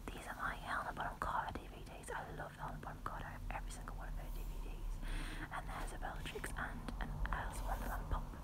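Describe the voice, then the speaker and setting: A woman whispers. She speaks at a very fast pace. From United Kingdom. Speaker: ASMR creator. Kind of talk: ASMR room tour, casual talk to camera. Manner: whispered, quiet. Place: home room. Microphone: phone near.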